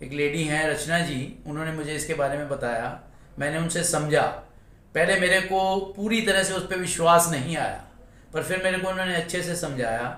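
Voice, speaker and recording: A man with a high pitch and ordinary pitch variation is heard over noticeable background noise and audible room echo. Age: 60s. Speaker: salesman, customer giving testimony. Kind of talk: testimony.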